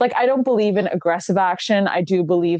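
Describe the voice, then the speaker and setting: In a Canadian accent, a woman with a fairly low pitch and a normal speaking voice talks at a moderate pace. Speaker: online shop host. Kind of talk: casual chat. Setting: live stream.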